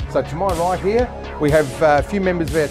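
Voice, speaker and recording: Fairly quick speech from a man, with clear music in the background. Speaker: real estate company presenter introducing the auction training. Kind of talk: casual talk to camera. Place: hall. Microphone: lapel.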